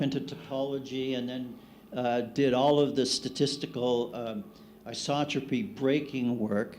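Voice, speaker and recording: There is audible room echo as a man speaks. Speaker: cosmologist. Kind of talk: conference panel discussion. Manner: loud.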